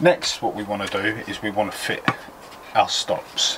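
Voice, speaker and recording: A man speaking at a moderate pace over noticeable background noise. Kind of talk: tutorial. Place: garden.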